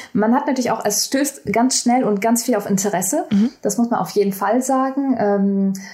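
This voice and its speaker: A woman's fairly high voice has a dark, mellow tone, ordinary pitch variation and very even loudness. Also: moderate pace. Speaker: communication science researcher, PhD. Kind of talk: casual interview. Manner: hesitant, many fillers.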